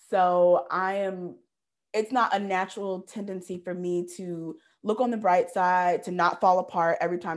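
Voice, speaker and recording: The speaker has an ordinary speaking voice, heard in a very clean recording with a silent background. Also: woman. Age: 30s. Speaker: podcast co-host. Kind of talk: casual chat.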